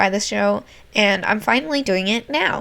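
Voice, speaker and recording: Lively in intonation, a woman speaks at a medium pitch with vocal fry. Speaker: art youtuber. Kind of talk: voiceover commentary.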